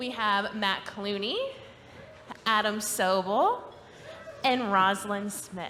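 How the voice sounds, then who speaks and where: A woman talks at a medium pitch with ordinary pitch variation. Audible room echo surrounds her voice. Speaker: panel moderator. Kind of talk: panel discussion moderation. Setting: live event with audience.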